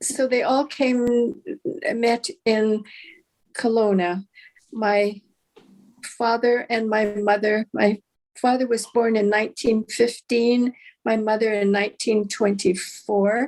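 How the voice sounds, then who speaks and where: At a very slow pace with long, frequent pauses, a woman speaks in a Canadian accent at a fairly high pitch. Her loudness stays very even and her intonation fairly even. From Canada, Okanagan, British Columbia. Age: 70s. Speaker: retired writer and storyteller. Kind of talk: casual chat. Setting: video call. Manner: halting.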